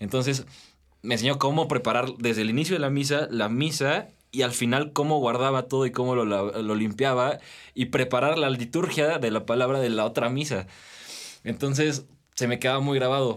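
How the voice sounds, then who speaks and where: A man in a normal speaking voice at medium pitch, moderate pace, ordinary pitch variation, and very even loudness. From Mexico, Toluca/Metepec. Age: young. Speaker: medical student. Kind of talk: casual interview.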